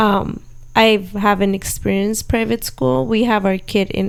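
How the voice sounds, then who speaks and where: Speaking with a Spanish accent, a woman at a medium pitch uses lively intonation at a moderate pace. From Southern California (Orange County). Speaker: podcast host, homeschooling mother. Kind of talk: casual chat.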